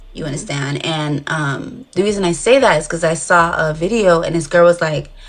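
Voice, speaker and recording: A woman's fairly low voice comes through against noticeable background noise. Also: ordinary pitch variation, moderate pace. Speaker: dating show contestant. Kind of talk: casual chat. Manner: rambling hesitant with many fillers.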